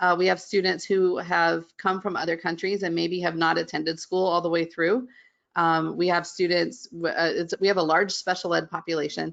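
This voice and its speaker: Speaking at a moderate pace against a quiet background, a woman with an American accent uses a fairly low pitch and fairly even intonation. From West Virginia. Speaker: middle school art teacher. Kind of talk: webinar interview.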